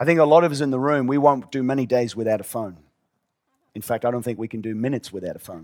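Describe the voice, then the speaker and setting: A man races along at a very fast pace in a medium voice, with ordinary pitch variation and big swings in loudness. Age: 50s. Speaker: pastor. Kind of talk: sermon. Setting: church with audience.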